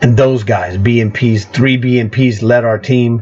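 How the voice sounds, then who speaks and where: With fairly even intonation and a medium pitch, the man has an ordinary speaking voice. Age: 60s. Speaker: gaming youtuber. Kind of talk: gameplay commentary.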